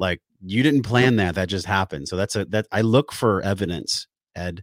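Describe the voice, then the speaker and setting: In a very clean recording with a silent background and a dry, close sound with no echo, a man with an American accent uses a plain, everyday voice at a moderate pace with lively intonation. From San Diego area, California. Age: 40s. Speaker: wellness podcast host and breathwork trainer. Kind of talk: interview conversation.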